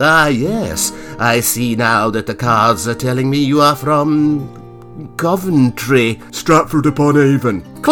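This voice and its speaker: Over clear music in the background, a man uses a put-on character voice at medium pitch and a fairly slow pace. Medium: read story. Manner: solemn, intoning, then awestruck.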